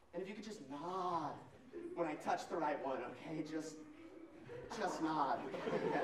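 Over loud background noise, a man talks at a fairly slow pace with ordinary pitch variation. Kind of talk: comic improv performance. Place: stage. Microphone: camera far.

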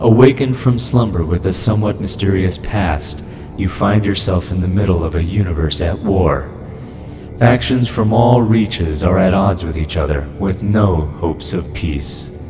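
A man's put-on character voice, very deep and low, at a moderate pace, against loud background noise. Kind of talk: game introduction narration. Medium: voice reel.

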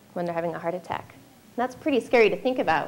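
A woman's voice with ordinary pitch variation. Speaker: heart health program director; presenter. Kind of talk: informational presentation. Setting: stage with audience. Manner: light-hearted. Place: hall. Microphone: handheld.

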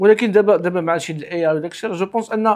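A man with a Moroccan accent speaks at a very fast pace and a high pitch. The background is quiet. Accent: Moroccan Darija. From Morocco. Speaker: podcast host. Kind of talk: podcast interview. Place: home room.

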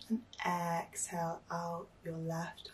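A woman's calm, soothing, somewhat breathy voice, fairly low in pitch, over light background noise. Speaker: meditation guide. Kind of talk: guided meditation. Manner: calm, soothing, slow. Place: home room.

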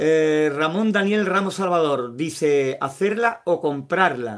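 A fairly high male voice shifts pitch in a normal way. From Andalusia, Spain (Sevilla). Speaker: YouTuber, homemade incubator builder. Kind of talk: live stream with viewer chat. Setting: at home. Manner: hesitant, frequent fillers.

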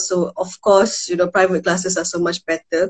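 The setting is quiet in the background. A woman does the talking. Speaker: remote guest, tutor. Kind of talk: casual conversation. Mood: relaxed, laughing. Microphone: video call.

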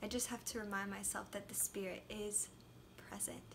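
A woman talks over light background noise. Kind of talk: devotional talk. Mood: gentle, reflective. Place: home room. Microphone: phone near.

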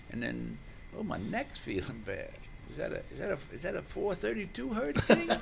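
An American-accented man speaks at a moderate pace, his loudness swinging widely. Light background noise can be heard. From New Orleans, US South. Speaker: sound healer and poet. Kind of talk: guided meditation. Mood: relaxed, enthusiastic. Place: studio. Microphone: studio mic.

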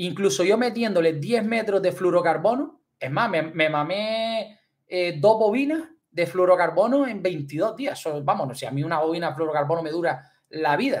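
Speaking at a moderate pace, a man with a high pitch uses lively intonation and an animated tone. The background is quiet. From Canary Islands. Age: 30s. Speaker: fishing youtuber. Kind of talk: livestream chat. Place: home room. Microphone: studio mic.

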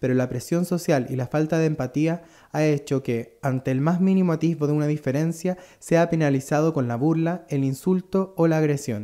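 At a fairly high pitch, a man speaks at a moderate pace with a dark, mellow tone and ordinary pitch variation. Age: 30s. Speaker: singer and tattoo artist. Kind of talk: scripted performance monologue.

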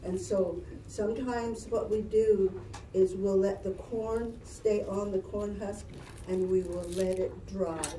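Heard with audible room echo and light background noise, a woman with an American accent speaks at a medium pitch. Her pace is very slow and her intonation monotone and flat. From Navajo Nation, northern Arizona; Arizona. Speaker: cultural presenter; presenter. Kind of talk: presentation to children. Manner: halting. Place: classroom. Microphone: camera far.

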